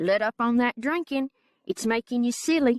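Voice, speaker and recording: A female-sounding voice puts on a character voice with a high pitch, at a moderate pace. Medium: read story. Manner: surly, menacing.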